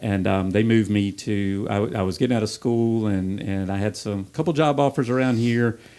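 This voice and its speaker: A man with a slight Southern US accent speaks at a fairly quick pace with hardly any pauses, in a fairly low pitch and a dark, mellow tone. His ordinary pitch variation comes through on a very clean recording with a silent background. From US South, Taylors, upstate South Carolina. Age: 50s. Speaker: gym member. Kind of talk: casual podcast chat.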